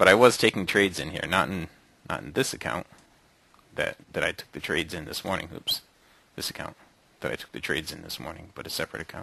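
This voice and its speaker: The voice has a bright, sharp tone with vocal fry and lively intonation. It moves at a very fast pace, broken by long, frequent pauses. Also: man, very deep, low pitch for a man. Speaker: day trading room host. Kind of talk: trading recap tutorial. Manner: animated.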